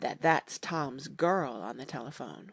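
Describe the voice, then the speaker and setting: A raspy, put-on character voice at a low-to-middle pitch, delivered at a fairly slow pace. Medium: read story. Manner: dry.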